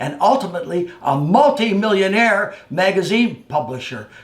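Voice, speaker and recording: With an American accent, the voice makes very wide pitch swings at a fairly slow pace over noticeable background noise. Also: man. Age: 80s+. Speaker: former wrestler and fitness personality. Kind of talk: personal storytelling.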